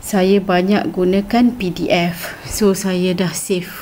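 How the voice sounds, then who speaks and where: A woman at medium pitch speaking at a very slow pace over noticeable background noise. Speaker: teacher. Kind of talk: tutorial. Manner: hesitant with fillers.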